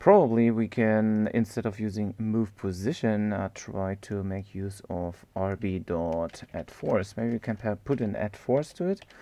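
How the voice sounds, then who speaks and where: Against a quiet background, a man with a German accent speaks at a fairly low pitch in a dark, mellow tone, with ordinary pitch variation and hardly any pauses. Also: fairly slow pace. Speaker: game development tutor, live streamer. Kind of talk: live-streamed coding tutorial. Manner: casual, thinking aloud with many fillers.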